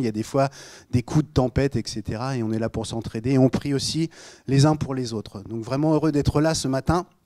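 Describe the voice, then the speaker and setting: With a slight Normandy accent, a man speaks fairly quickly at a medium pitch in a dark, mellow tone with ordinary pitch variation, the sound dry and close with no echo on a very clean recording with a silent background. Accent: slight Normandy accent, rather clipped. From Normandy, Rouen. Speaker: pastor. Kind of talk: sermon. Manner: casual, joking.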